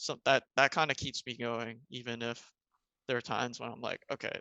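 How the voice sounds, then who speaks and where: A man with an American accent and an ordinary speaking voice, medium pitch, moderate pace. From US Mid-Atlantic, Maryland (Montgomery County). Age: 20s. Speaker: podcast guest. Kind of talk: casual chat.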